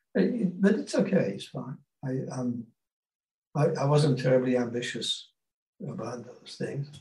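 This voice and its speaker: The speaker has a dark, mellow, somewhat breathy tone, lively intonation and big swings in loudness, moving at a fairly slow pace with long, frequent pauses. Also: man, fairly high pitch for a man. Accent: Hungarian. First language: Hungarian. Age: 80s. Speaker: film and TV director. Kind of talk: interview, reminiscing. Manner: halting, hesitant with many fillers.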